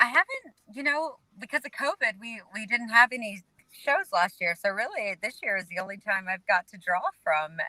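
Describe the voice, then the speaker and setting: Speaking at a moderate pace with a Southern US accent, a woman with a fairly high pitch and a bright, sharp tone uses lively intonation and big swings in loudness, in a dry, close sound with no echo. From North Carolina. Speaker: singer-songwriter. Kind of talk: interview answer. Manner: casual, chatty.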